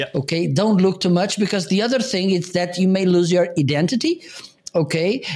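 The speaker has a Portuguese accent. The intonation is lively. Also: man. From Portugal. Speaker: live streaming co-host. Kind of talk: casual chat.

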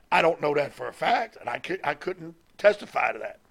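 He is a man with a Southern US accent. He talks at a fairly quick pace. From US South, Mississippi. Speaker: retired pro wrestling manager. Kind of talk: interview.

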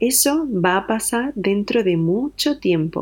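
Speaking at a very slow pace, a woman uses lively intonation and a dark, mellow tone. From Andalusia, southern Spain. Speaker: storyteller. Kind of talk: personal story narration. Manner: slow and clear.

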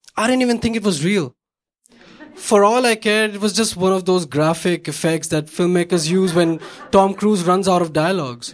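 A man with an Indian accent speaks at a high pitch with ordinary pitch variation. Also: moderate pace. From India, Bombay. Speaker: storyteller. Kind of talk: stand-up. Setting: stage with audience.

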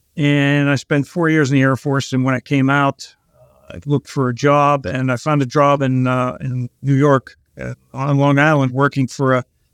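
A man with a fairly high pitch and an American accent, moderate pace, monotone, flat intonation, and a dry, close sound with no echo. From Pittsburgh, western Pennsylvania. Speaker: trucking company president. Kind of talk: interview. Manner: halting, many fillers.

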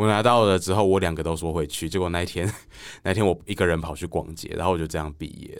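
A man speaks with a Taiwanese accent. His pace is fairly quick. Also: very clean recording, silent background. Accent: Taiwanese Mandarin. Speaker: author. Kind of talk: casual interview chat.

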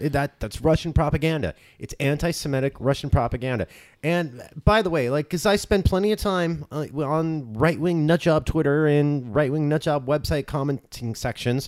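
Here a man speaks in an ordinary speaking voice, fairly high in pitch with ordinary pitch variation. He keeps a moderate pace on a very clean recording with a silent background. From Southern California, Orange County. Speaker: political podcast co-host. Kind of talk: casual chat.

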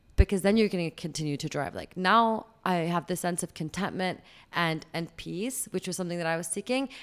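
A woman with a normal speaking voice talks at a fairly quick pace with a fairly low pitch and ordinary pitch variation. The recording is very clean, with a silent background. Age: 30s. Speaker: podcast guest. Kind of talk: casual chat.

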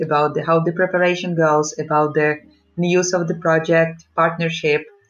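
Music in the background behind talking at a moderate pace. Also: woman. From Ukraine. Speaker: amateur cyclist. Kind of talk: casual interview.

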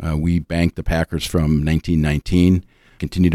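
Very deep and low, this man's voice has a dark, mellow tone and monotone, flat intonation. The recording is very clean with a silent background. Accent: American. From Minnesota, Minneapolis suburbs. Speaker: bank executive and pension board chair. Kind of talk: interview.

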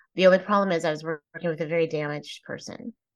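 In a quiet setting, a woman with an American accent uses a plain, everyday voice, fairly low in pitch and fairly even in intonation. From Texas, Plano. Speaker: speaker and humorist. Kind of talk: interview.

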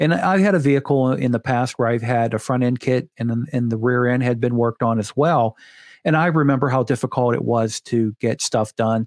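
This man has an unremarkable speaking voice, a medium pitch, ordinary pitch variation and an American accent, talking at a fairly quick pace with very even loudness in a dry, close sound with no echo on a very clean recording with a silent background. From Pittsburgh, Pennsylvania. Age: 50s. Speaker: coatings podcast host. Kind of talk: casual chat.

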